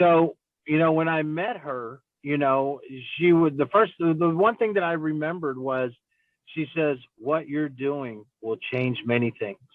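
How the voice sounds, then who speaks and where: A man with an ordinary speaking voice, a fairly high pitch, ordinary pitch variation and a fairly slow pace. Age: 40s. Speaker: city council member. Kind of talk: interview. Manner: casual, with many fillers.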